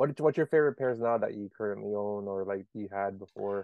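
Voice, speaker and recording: A man in an American accent uses a plain, everyday voice with lively intonation at a fairly quick pace. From Maryland (DMV area). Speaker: podcast host. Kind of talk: casual chat.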